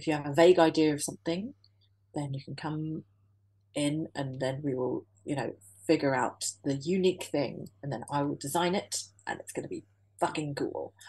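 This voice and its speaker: The voice has a dark, mellow tone and is somewhat breathy, moving at a moderate pace with fairly even intonation. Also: woman, very deep, low pitch for a woman. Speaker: business owner. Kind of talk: casual interview chat.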